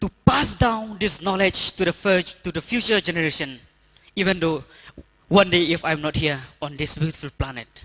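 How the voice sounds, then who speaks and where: Speaking in a Northeast Indian accent, a man uses a high pitch and lively intonation. His pace is moderate. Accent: Indian (Khasi) English. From Meghalaya, India. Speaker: rural development worker. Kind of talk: conference talk.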